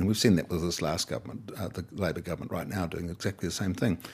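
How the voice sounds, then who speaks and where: A man with a New Zealand accent, a very deep, low pitch, ordinary pitch variation and a very fast pace. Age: old. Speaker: retiring politician and farmer. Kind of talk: interview. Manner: hesitant, with fillers and restarts.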